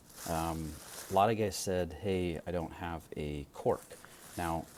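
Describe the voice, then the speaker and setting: Soft-spoken, a man talks in a very deep, low voice with ordinary pitch variation. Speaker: pipe shop owner and video host. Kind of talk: casual product talk. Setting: at home late at night. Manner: quiet, soft-spoken; hesitant, many fillers.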